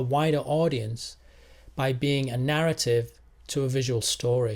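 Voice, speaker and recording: A somewhat breathy man, fairly high in pitch, at a fairly slow pace on a very clean recording with a silent background. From England. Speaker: engineer and poet. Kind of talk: casual talk to camera.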